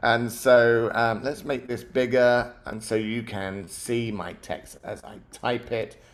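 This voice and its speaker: The speaker is a man. He talks with a British accent. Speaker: app-building tutor. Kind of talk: live tutorial. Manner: mumbling; hesitant, many fillers.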